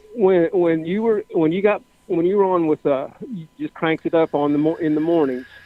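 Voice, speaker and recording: Over noticeable background noise, a man with an American accent talks at a fairly quick pace in a high-pitched voice with ordinary pitch variation. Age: 60s. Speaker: caller. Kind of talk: casual chat. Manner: halting.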